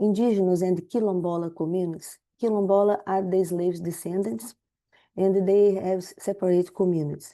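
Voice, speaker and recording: In a Portuguese accent, a woman with a medium pitch and a dark, mellow tone speaks at a moderate pace with fairly even intonation over a quiet background. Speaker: public health researcher. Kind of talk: webinar presentation. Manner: halting.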